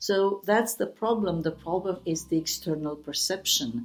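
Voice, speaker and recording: The voice carries a Romanian accent with ordinary pitch variation. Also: woman. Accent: Romanian accent, self-described as bad. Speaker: writer. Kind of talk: interview. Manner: halting, many fillers.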